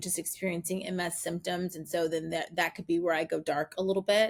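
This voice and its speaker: The recording is very clean and the background silent. A woman's medium-pitched voice is heard. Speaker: podcast host. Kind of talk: personal vlog monologue. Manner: animated.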